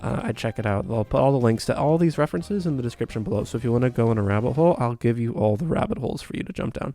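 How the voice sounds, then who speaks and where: Quiet and very fast, a man's medium-pitched voice shows ordinary pitch variation against noticeable background noise. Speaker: art tutorial youtuber. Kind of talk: tutorial. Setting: at home early morning. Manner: casual.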